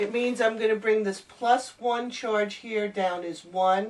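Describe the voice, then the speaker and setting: Against noticeable background noise, a woman talks at a very slow pace. Her pitch is medium, with ordinary pitch variation. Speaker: chemistry teacher. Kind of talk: tutorial.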